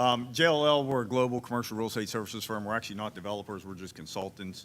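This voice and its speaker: A man with an American accent talks at a very fast pace with ordinary pitch variation. His loudness swings widely. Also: medium pitch for a man. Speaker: commercial real estate consultant. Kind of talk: town hall panel remarks.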